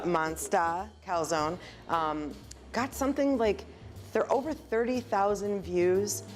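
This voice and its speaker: Music in the background behind a woman speaking at a very slow pace with very even loudness. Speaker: restaurant owner. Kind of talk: interview answer.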